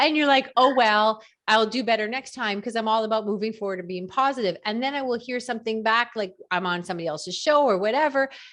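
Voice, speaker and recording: Her pitch fairly high, a woman talks in an animated tone at a very fast pace with hardly any pauses. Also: ordinary pitch variation. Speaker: podcast host. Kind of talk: casual interview.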